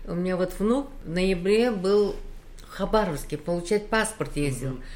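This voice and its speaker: At a fairly slow pace, a woman speaks at medium pitch with audible room echo. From Uzbekistan. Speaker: mother and grandmother. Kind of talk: interview.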